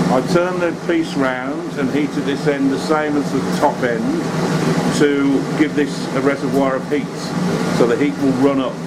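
Loud background noise sits behind the recording. A man talks with ordinary pitch variation. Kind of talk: tutorial. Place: workshop. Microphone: camera far.

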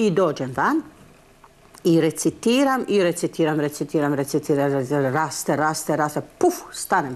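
A woman speaks at a fairly slow pace. Her pitch makes very wide swings. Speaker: stage actress interviewed. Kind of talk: interview answer, telling an anecdote.

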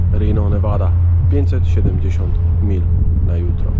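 A man over loud background noise. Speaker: truck driver vlogger. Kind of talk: casual vlog chat. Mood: relaxed, later grumbling. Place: street. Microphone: phone near.

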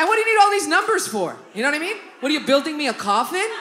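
A raised, projected voice with very wide pitch swings comes through over noticeable background noise. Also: woman. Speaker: stand-up comedian. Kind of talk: live stand-up comedy set. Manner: animated, casual, profane. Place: stage. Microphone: handheld.

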